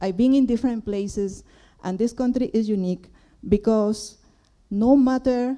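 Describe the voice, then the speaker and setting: A woman's dark, mellow tone with a Spanish accent and ordinary pitch variation. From Peru. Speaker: audience member asking a question. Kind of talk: Q&A question from the floor. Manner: halting.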